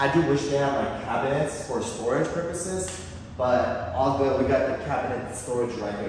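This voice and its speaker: A man talks at a fairly quick pace with ordinary pitch variation. Strong room echo and light background noise are present. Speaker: vlogger touring his apartment. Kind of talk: casual vlog chat. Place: home room.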